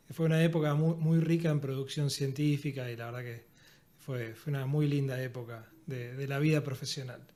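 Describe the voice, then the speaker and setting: This man has an Argentine accent and a fairly high pitch. He talks at a moderate pace in a dark, mellow tone. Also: fairly even intonation. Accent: Argentine Spanish (Rioplatense). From Argentina. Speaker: physiotherapist and university lecturer. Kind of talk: podcast interview.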